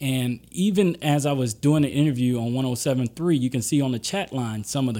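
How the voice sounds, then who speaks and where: A man with a Southern US accent speaks at a medium pitch and moderate pace in a dark, mellow tone, recorded very cleanly against a silent background. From Louisiana and Mississippi Gulf Coast. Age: 30s. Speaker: attorney. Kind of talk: interview.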